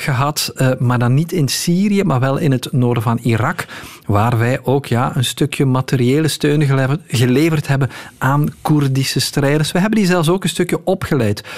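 This man has an unremarkable speaking voice, pitched fairly high for a man, with ordinary pitch variation and a moderate pace. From Belgium. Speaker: news journalist. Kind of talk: radio interview.

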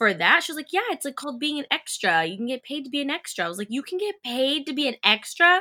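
A woman's bright, sharp, high voice in an American accent, raised and projected, very fast, with very wide pitch swings. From California, Bakersfield. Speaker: actress. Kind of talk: casual interview.

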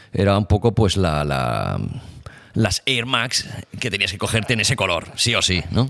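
Vocal fry runs through this man's fairly low voice. He speaks at a fairly slow pace. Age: 40s. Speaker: skater and DJ. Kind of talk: casual chat. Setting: garage. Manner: halting.

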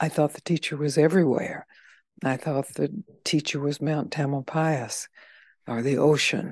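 Intonation runs fairly even. The sound is dry and close with no echo, against a quiet background. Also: woman, very deep, low pitch for a woman, moderate pace. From US South, Mississippi. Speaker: spiritual teacher.

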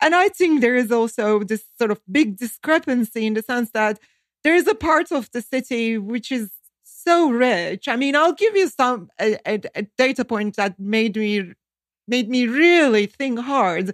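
In a Turkish accent, a high-pitched woman speaks with lively intonation, the sound dry and close with no echo on a very clean recording with a silent background. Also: fairly slow pace. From Turkey. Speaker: economist, think tank director. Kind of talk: interview.

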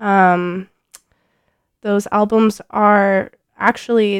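A woman's relaxed tone in a dry, close sound with no echo. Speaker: radio DJ. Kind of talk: radio DJ patter introducing songs. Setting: radio studio. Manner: casual, chatty; relaxed, laid-back, with filler sounds and laughs.

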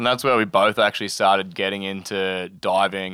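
Here a man talks in an Australian accent. His pitch is fairly low and his pace moderate. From north of Cairns, Queensland, Australia. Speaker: sailing charter captain. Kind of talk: casual interview with storytelling. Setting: on an anchored sailboat, live in front of crew.

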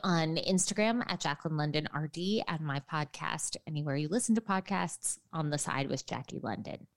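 A woman talks in a plain, everyday voice at a fairly low pitch, with ordinary pitch variation. Her moderate-paced speech sounds dry and close, with no echo. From New York City, lower Manhattan. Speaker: registered dietitian and author. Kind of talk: interview. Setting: remote from home apartment.

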